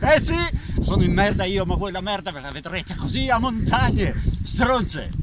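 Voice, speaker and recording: Loud background noise sits behind a man talking at a moderate pace. The sound is dry, with no echo. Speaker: actor in a film scene. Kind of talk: angry dramatic rant. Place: open country.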